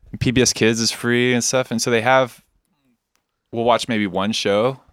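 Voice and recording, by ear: A man speaks at a fairly slow pace with a medium pitch, fairly even intonation, and long, frequent pauses.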